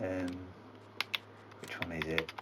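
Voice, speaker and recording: Over noticeable background noise, a man speaks with a Yorkshire accent. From Yorkshire, England. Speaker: gaming YouTuber and farmer. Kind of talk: gameplay commentary. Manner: casual, halting. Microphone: poor microphone quality.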